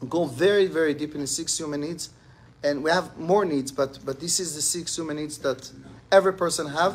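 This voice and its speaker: Fairly high in pitch for a man, this speaker moves at a fairly quick pace with fairly even intonation. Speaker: rabbi teaching a class. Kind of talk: lecture. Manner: fast.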